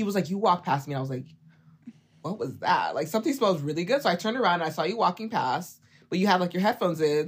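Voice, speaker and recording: Her pitch fairly low and her intonation lively, a woman talks in a plain, everyday voice. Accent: American. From Oklahoma. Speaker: fragrance content creator. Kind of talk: casual interview chat.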